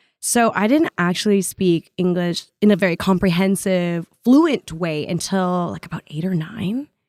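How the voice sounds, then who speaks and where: A woman speaks at a fairly slow pace with hardly any pauses, her medium pitch moving with ordinary variation. The sound is dry and close with no echo, on a very clean recording with a silent background. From Canada, Vietnamese immigrant family. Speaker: actor. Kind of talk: casual interview chat. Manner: animated, expressive.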